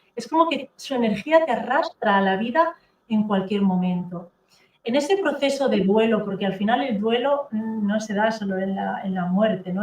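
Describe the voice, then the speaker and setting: A woman with a Catalan accent talks in a fairly high pitch with ordinary pitch variation. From Catalonia, Spain. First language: Catalan (speaking Spanish). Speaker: therapist and author. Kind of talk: interview testimony.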